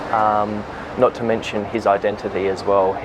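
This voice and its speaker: Fairly low-pitched male speech, monotone and flat, over noticeable background noise. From Western Australia, Perth area. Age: 20s. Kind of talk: interview testimony.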